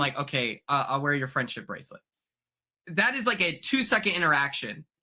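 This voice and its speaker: A loud man's bright, sharp voice, with lively intonation at a fairly quick pace. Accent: American. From Oklahoma. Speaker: reality TV contestant. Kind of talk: podcast interview. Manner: energetic, excitable.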